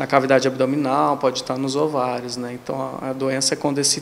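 A man's fairly high voice at a fairly quick pace, over light background noise. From Brazil, São Paulo state interior. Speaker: gynecologist. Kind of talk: interview. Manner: halting, frequent fillers. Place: office. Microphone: handheld.

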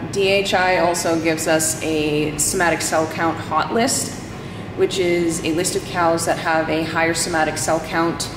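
Noticeable background noise surrounds a woman's voice. She speaks at a fairly slow pace with a fairly low pitch. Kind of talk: casual vlog chat. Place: farm machine. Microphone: phone near.

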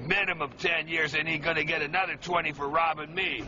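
Noticeable background noise sits behind a man with an American accent. His pitch is fairly high and his intonation fairly even. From Chicago, Illinois. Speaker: Vietnam veteran. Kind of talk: interview answer. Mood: agitated, indignant storytelling. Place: street. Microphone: phone near.

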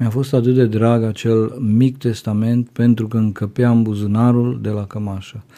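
Against a quiet background, a man speaks at a moderate pace with hardly any pauses. His tone is dark and mellow, his intonation monotone and flat. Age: 50s. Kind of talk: interview testimony.

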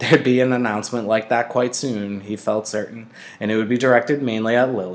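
An unforced reading voice, its intonation fairly even.

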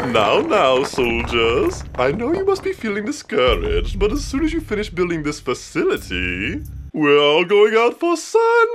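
The man speaks at a moderate pace. Background noise comes through clearly. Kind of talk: comic parody dub. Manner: smooth, pep-talk friendly.

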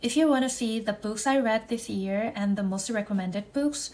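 A woman speaks with a Korean accent at a fairly high pitch. Her voice is somewhat breathy, and her intonation is fairly even. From South Korea. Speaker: vlogger. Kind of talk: vlog narration. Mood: reflective, gently frustrated.

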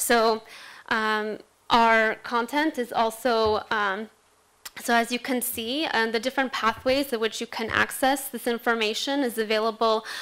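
A woman with a bright, sharp tone and a fairly high pitch speaks at a moderate pace in a monotone, flat intonation. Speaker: education specialist; presenter. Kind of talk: panel presentation. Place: hall. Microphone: podium.

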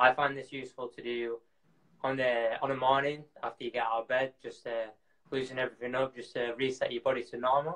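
In a Yorkshire accent, a man speaks at a very fast pace with monotone, flat intonation. The background is quiet. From Yorkshire, Bradford. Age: 20s. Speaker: professional distance runner. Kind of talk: live stream Q&A; workout tutorial. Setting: live video stream from home. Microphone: video call.

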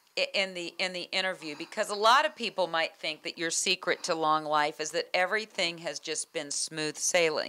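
Speaking at a moderate pace, a woman has a fairly low pitch and ordinary pitch variation. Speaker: interviewer host. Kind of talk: interview questions. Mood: warm, conversational. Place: home room. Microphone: handheld.

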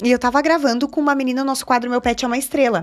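Over a quiet background, a woman speaks at a high pitch in a strong Gaúcho accent. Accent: strong Gaúcho countryside. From Rio Grande do Sul interior, Alecrim (border with Argentina); Rio Grande do Sul, Brazil. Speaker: TV journalist and presenter; TV journalist, presenter. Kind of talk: casual interview chat. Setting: studio. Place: studio. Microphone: studio mic.

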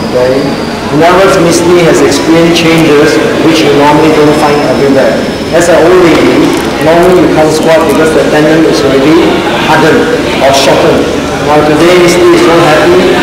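Loud background noise and audible room echo surround a man's voice. He talks at a fairly quick pace but takes long, frequent pauses. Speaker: seminar host. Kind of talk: interviewer. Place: hall.

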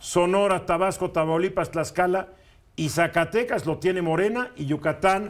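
His pitch high for a man, he talks at a moderate pace with ordinary pitch variation. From Mexico. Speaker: radio news commentator. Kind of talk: opinion talk on news radio. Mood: opinionated, ironic. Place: studio. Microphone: lapel.

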